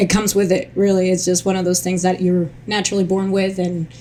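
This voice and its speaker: The speaker has a Spanish accent and a fairly quick pace, with noticeable background noise. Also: woman. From Colombia. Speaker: childhood cancer survivor and advocate. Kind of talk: interview testimony. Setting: recorded near the capitol in Washington DC. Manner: halting, many fillers; animated.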